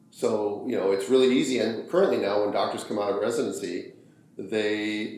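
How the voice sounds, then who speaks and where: Noticeable background noise and audible room echo surround a man speaking at a fairly quick pace with a fairly low pitch. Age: 60s. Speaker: obstetrician. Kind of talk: interview. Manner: halting, repeats words.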